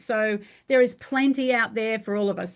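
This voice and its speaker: Against a quiet background, a woman with an Australian accent speaks at a fairly high pitch with ordinary pitch variation. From rural Australia. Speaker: franchising business coach. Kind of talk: interview.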